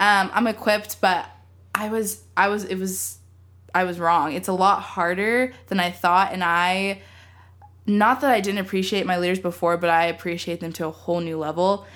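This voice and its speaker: A woman with an American accent speaks in a normal speaking voice at medium pitch, with fairly even intonation and a moderate pace, on a very clean recording with a silent background. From Texas, Austin. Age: 20s. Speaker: photographer and student. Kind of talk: casual chat.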